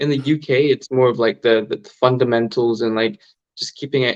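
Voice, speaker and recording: In a normal speaking voice, a man talks at a medium pitch with an American accent. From Hong Kong. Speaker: amateur boxer. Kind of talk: casual chat.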